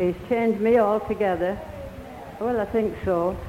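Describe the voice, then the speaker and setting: Noticeable background noise sits behind a woman with a fairly high pitch. She speaks at a fairly slow pace. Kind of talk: testimony. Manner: warm, halting, repeating words with delighted exclamations.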